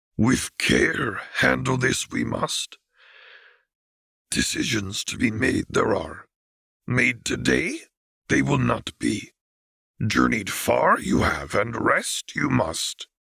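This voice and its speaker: Putting on a raspy character voice, a man talks at a very slow pace in a fairly low pitch with long, frequent pauses. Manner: solemn, inverted word order.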